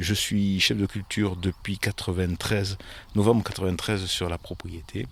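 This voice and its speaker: Over a silent background in a very clean recording, a man talks at a moderate pace in a very deep, low pitch, somewhat breathy and with fairly even intonation. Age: 60s. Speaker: vineyard manager. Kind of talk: interview. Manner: hesitant, many fillers.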